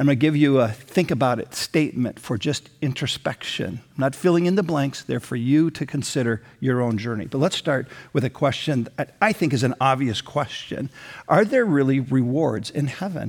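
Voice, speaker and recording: An unremarkable speaking voice moves at a moderate pace, its pitch varying in an ordinary way. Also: man, fairly high pitch for a man. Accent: American. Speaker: pastor. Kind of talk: sermon. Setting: church with online campus.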